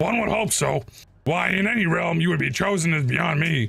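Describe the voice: A man puts on a gravelly, croaky, raspy character voice at a fairly high pitch, holding a moderate pace and very even loudness.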